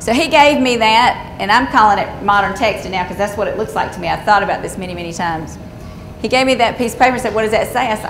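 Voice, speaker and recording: A woman with a Southern US accent talks at a very fast pace with ordinary pitch variation. Noticeable background noise and audible room echo come through. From Georgia, US South. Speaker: conservation engineer. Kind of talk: seminar presentation.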